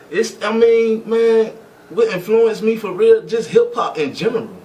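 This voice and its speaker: A man speaks with a high pitch and ordinary pitch variation. Noticeable background noise sits behind him. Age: 20s. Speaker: rapper. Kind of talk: casual interview. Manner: animated.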